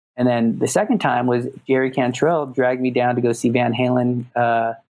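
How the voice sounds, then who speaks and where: With a Californian accent, a man at medium pitch keeps a monotone, flat intonation and a moderate pace. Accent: Californian American. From Los Angeles. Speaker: music producer and recording engineer. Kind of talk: casual interview chat.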